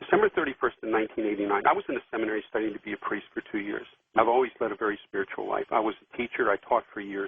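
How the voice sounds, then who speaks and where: A man speaks at a very fast pace, his loudness swinging widely. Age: 60s. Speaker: caller. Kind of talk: call-in question. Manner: halting.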